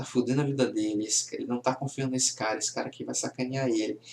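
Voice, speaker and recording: Very fast and monotone, a man talks at medium pitch with flat intonation. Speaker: comic book reviewer. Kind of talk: casual video review.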